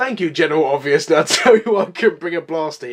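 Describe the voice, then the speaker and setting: A man's growling, put-on character voice, high in pitch and very fast. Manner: growling, glaring, annoyed.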